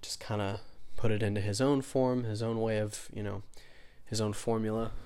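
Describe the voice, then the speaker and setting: A soft-spoken man with a fairly low pitch and a dark, mellow tone talks at a fairly quick pace amid audible room echo. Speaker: podcast host. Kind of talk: solo monologue on spirituality. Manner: halting, many fillers.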